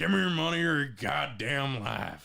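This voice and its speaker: A raspy put-on character voice at a moderate pace, with very wide pitch swings. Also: man. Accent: Western US. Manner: threatening.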